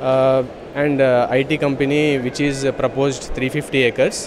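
A man is speaking with noticeable background noise behind him. The sound is dry, with no echo. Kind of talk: interview answer. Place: hall.

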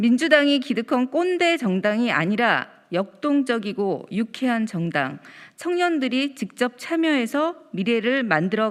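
A woman speaks at a fairly high pitch and a very slow pace, with very wide pitch swings. The recording is very clean, with a silent background. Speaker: first-term lawmaker. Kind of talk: press statement reading. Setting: press conference room. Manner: formal.

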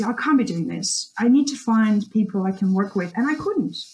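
A woman with a medium pitch and a dark, mellow tone sounds somewhat breathy. She talks at a fairly quick pace with ordinary pitch variation. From Russia. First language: Russian. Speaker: social media strategist. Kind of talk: podcast interview.

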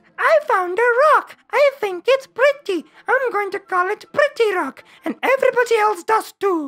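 Extremely high and squeaky, the put-on character voice proceeds at a moderate pace. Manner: mocking, simplistic.

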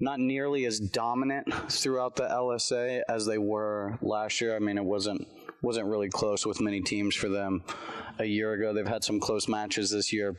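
Over a quiet background, a man speaks at a fairly slow pace. His intonation stays fairly even. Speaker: lacrosse coach. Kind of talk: casual roundtable chat. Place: studio.

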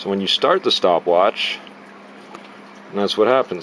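Faint background noise sits behind a fairly bright tone delivered at a fairly slow pace. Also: man.

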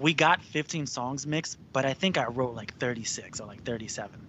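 A man talks with ordinary pitch variation. The recording is dry with no echo and light background noise. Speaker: rock band singer; guest. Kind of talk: casual interview. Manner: laid-back, casual with frequent laughter. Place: home room. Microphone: studio mic.

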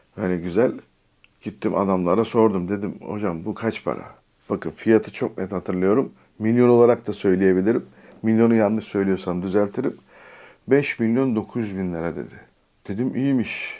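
This man's voice sits at a fairly low pitch, with a dark, mellow tone and ordinary pitch variation. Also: moderate pace. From Turkey, Istanbul. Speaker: YouTuber. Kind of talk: storytelling vlog. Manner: casual, with filler hesitations.

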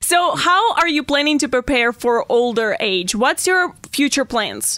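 A woman projects a raised, high voice with a bright, sharp tone, very wide pitch swings and a fairly slow pace. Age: 20s. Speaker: podcast host. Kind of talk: interview. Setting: studio.

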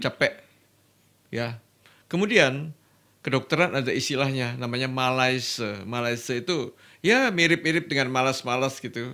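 A man with a bright, sharp tone talks at a moderate pace with ordinary pitch variation against a quiet background. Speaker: guest. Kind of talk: interview answer. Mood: warm, lightly humorous. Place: studio. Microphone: studio mic.

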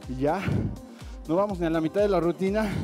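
Faint music sits in the background. Over it, a man talks at a moderate pace. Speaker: fitness instructor. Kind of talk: workout coaching cues. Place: gym.

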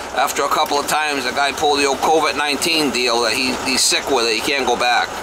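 A man talks at a fairly quick pace. Background noise is noticeable behind him. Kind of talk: casual vlog chat. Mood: annoyed, skeptical. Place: car. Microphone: camera far.

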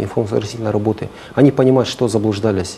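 The speech moves at a fairly quick pace with fairly even intonation over light background noise. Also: man. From Kazakhstan. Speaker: prosecutor official; guest. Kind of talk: studio interview. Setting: studio. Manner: formal. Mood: calm, formal. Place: studio.

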